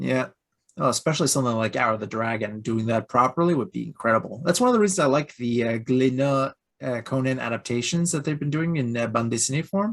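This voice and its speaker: A man speaks in a Quebec accent. His pace is very fast. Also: medium pitch for a man, ordinary pitch variation. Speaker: YouTube reviewer. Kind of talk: casual interview chat.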